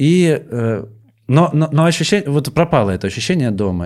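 A man's lively intonation on a very clean recording, background silent. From Russian village. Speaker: stand-up comedian. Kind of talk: casual chat. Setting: studio.

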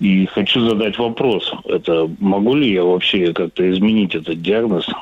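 Against noticeable background noise, a man with a very deep, low voice talks at a fairly slow pace, his pitch varying in an ordinary way. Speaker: caller. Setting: phone call.

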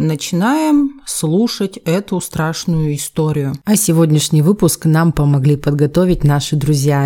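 At a fairly slow pace, a woman speaks with a dark, mellow tone. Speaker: true crime podcast host. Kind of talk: storytelling narration. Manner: casual, conversational.

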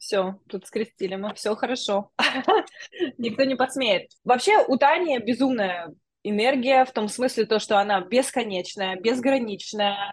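A woman has an ordinary speaking voice with a fairly high pitch. She speaks at a fairly slow pace with ordinary pitch variation. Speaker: podcast host. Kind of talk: casual interview chat. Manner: warm, friendly, effusive.

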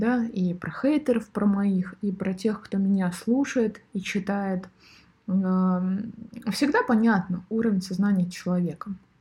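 A woman speaks very slowly in a dark, mellow, somewhat breathy voice. Her pitch varies in an ordinary way. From Siberia, Irkutsk. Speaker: podcast host. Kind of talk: monologue podcast. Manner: animated.

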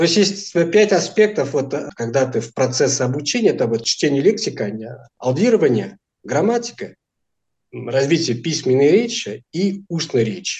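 Breathing somewhat audibly, a man talks with a fairly high pitch. His pitch swings very widely at a moderate pace. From France, Portuguese immigrant family. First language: Portuguese and French (speaking Russian). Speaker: language teacher. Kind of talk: interview.

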